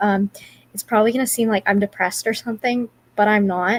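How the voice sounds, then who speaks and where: A woman's voice comes across as somewhat breathy. Her intonation stays fairly even. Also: dry, close sound with no echo. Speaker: livestreamer. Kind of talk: casual live stream chat. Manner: talking quieter so as not to wake someone; halting, many fillers.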